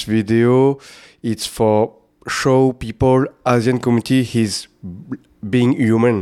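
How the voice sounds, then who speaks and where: Speaking very slowly with a French accent, a man keeps a medium pitch and fairly even intonation. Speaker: film director. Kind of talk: casual interview. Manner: halting.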